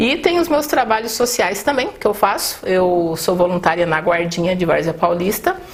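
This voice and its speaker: There is noticeable background noise. A woman talks at a moderate pace over it. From northeast Brazil, raised in São Paulo state. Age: 50s. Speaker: mayoral candidate. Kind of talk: interview.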